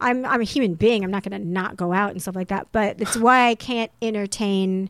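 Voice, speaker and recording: A woman of medium pitch speaks in a plain, everyday voice with fairly even intonation, in a dry, close sound with no echo and a very clean recording with a silent background. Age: 30s. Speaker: actress and model. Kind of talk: casual chat. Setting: studio.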